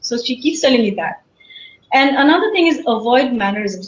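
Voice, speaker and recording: Her high voice swings very widely in pitch as the woman speaks. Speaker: webinar speaker, professor. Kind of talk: lecture.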